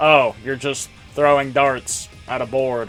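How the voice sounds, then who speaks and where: A man's put-on character voice at medium pitch, monotone and flat, at a fairly slow pace, with faint music in the background. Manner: mocking, oversimplifying.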